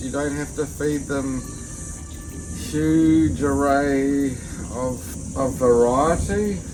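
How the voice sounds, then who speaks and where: Music plays behind a man with a New Zealand accent, and the room echo is audible. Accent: Kiwi (New Zealand). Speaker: tortoise keeper / YouTuber. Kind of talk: casual tutorial vlog.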